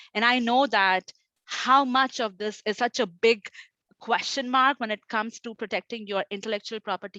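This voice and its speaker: Dry and close with no echo over a quiet background, a woman's fairly high voice has a bright, sharp tone and fairly even intonation. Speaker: intellectual property consultant. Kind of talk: conference talk. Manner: fast.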